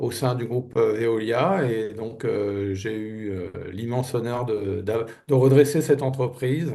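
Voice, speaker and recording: A man's dark, mellow voice at a fairly slow pace, with ordinary pitch variation over a quiet background. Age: 60s. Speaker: business turnaround manager. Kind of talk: interview. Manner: hesitant, many fillers.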